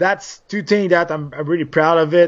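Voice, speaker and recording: A high-pitched man with a Quebec accent. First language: French. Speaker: former MMA fighter and TV analyst. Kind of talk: interview. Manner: animated.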